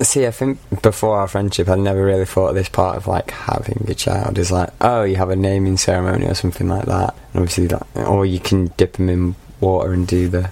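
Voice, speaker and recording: A man with a Mancunian accent and a very deep, low pitch talks at a very fast pace over noticeable background noise. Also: fairly even intonation. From Manchester, England. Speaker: media masters student. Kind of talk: casual chat.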